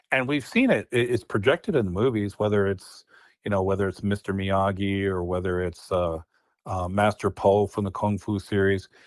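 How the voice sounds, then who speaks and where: A man at a moderate pace in a very clean recording, silent background, with a dry, close sound and no echo. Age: 60s. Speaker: martial arts master. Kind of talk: interview conversation. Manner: halting, repetitive fillers.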